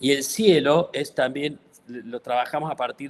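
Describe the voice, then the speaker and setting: A man speaks in a Córdoba accent. His intonation is fairly even. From Córdoba, Argentina. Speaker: textile artist. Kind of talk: artist talk.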